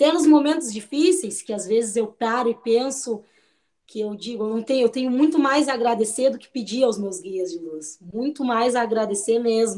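A woman's fairly high voice with a dark, mellow tone, lively intonation and big swings in loudness. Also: moderate pace. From southern Brazil, Pelotas (Rio Grande do Sul). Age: 30s. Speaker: cook and entrepreneur. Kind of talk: interview testimony.

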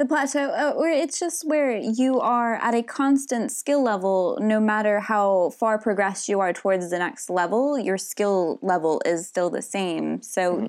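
In a very clean recording with a silent background, a woman with a plain, everyday voice speaks at a fairly high pitch and a moderate pace, with lively intonation, very even loudness and hardly any pauses. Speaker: podcast co-host. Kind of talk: casual podcast discussion about RPG design.

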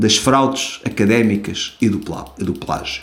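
A man speaks at a fairly slow pace in a European Portuguese accent. Noticeable background noise runs underneath. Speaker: podcast host. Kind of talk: solo commentary podcast. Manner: halting.

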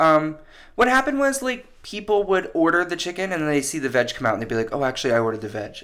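A loud man speaks at a very fast pace with a fairly high pitch. His tone is bright and sharp, and his pitch swings very widely. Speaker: podcast co-host. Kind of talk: casual chat.

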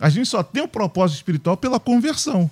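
In a very clean recording with a silent background, a man with a dark, mellow tone speaks at a fairly quick pace with very wide pitch swings, the sound dry and close with no echo. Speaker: pastor. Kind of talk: prayer and panel discussion. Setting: radio studio.

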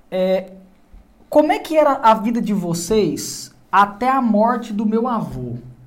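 A man's high-pitched voice at a very slow pace, with noticeable background noise. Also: lively intonation. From Goiás, Brazil (interior). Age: 30s. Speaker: podcast host. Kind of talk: casual interview.

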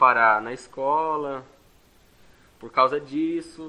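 A man is talking. The tone of his voice is bright and sharp. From Brazil, Santo André, São Paulo. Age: 20s. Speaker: adult education student, construction worker. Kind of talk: interview. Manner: halting.

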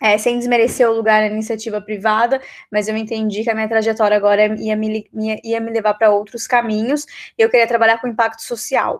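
At a fairly quick pace, a woman speaks. Her intonation is monotone and flat. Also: fairly high pitch for a woman. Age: 30s. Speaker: political candidate. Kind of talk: interview.

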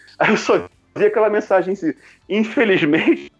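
A man at a moderate pace, with a high pitch. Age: 40s. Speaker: podcaster. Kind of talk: casual chat.

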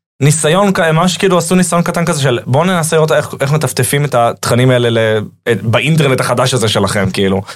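A man with a fairly high pitch speaks at a very fast pace. His intonation is lively, while his loudness stays very even. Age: 20s. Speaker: comedian and content creator. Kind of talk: casual chat.

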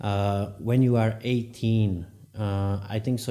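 A man speaks with a Slovak accent at a fairly low pitch. His tone is dark and mellow. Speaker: podcast host. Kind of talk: interview.

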